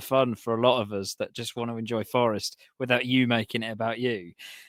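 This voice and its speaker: With an English accent, a man speaks at medium pitch and a fairly quick pace with ordinary pitch variation, in a dry, close sound with no echo. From Nottingham, England. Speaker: podcast co-host. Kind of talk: casual chat.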